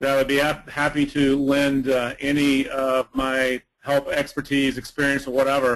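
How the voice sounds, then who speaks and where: A man with an American accent speaks in a fairly high, monotone, flat voice. He keeps very even loudness and hardly any pauses. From US South. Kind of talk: webinar comment. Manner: fast.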